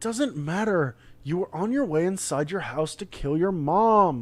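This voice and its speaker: The speaker uses a put-on character voice set at a middle pitch. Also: moderate pace. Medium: read story.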